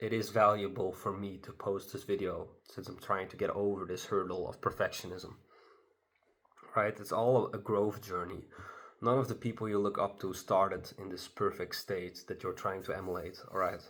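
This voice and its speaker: Speaking in a non-native accent, a man keeps a flat monotone at a fairly low pitch and a moderate pace. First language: not English. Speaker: solo vlogger. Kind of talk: casual monologue to camera. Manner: halting, many fillers. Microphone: not using his good microphone.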